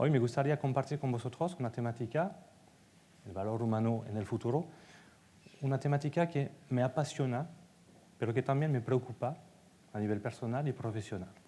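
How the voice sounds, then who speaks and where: A man with a French accent speaks at a fairly quick pace yet with long, frequent pauses, his somewhat breathy voice dark and mellow in tone with ordinary pitch variation. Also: medium pitch for a man. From France. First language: French (speaking Spanish). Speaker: data executive and conference speaker. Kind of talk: conference talk.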